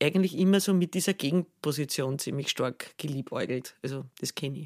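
Speaking with a Viennese accent, a woman uses lively intonation. The recording is very clean, with a silent background. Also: dry, close sound with no echo. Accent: Viennese Austrian German. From Austria, Vienna region. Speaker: singer-songwriter. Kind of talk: casual interview.

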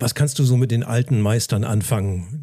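At a moderate pace, a man with a medium-pitched, somewhat breathy voice speaks in a dark, mellow tone with ordinary pitch variation. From northern Germany, Lauenburg an der Elbe. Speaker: podcast host. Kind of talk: casual interview; podcast promo. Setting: hotel in Hamburg.

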